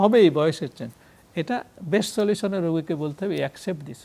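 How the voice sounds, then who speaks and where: This man has a high pitch and a dark, mellow tone, with ordinary pitch variation. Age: 70s. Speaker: physician. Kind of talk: TV health talk interview. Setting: TV studio.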